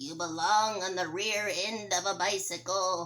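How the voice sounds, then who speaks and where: A female-sounding voice speaks in a put-on character voice. The pitch is medium and the pace moderate. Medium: read story.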